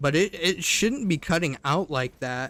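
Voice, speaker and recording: A loud man's voice with a bright, sharp tone on a very clean recording with a silent background. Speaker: gaming streamer. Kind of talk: live gameplay commentary.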